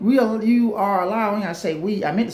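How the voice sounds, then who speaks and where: Audible room echo and noticeable background noise accompany a man speaking at a fairly quick pace in an animated tone. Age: 40s. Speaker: relationship advice vlogger. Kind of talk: casual monologue to camera.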